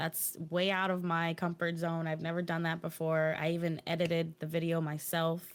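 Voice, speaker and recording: A woman speaks in a monotone, flat intonation at a fairly low pitch, keeping her loudness very even. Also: moderate pace, hardly any pauses. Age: young. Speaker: streamer. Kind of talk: casual interview.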